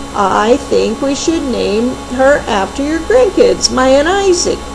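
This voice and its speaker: Loud music plays in the background as a woman puts on a character voice. She speaks at a fairly slow pace with a high pitch. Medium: read story. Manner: cheerful.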